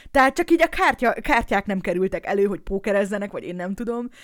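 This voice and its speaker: A woman speaks very fast with very wide pitch swings. The recording is very clean, with a silent background. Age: 30s. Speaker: podcast host and streamer, new mother. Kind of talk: casual Q&A livestream chat. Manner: chaotic, rambling.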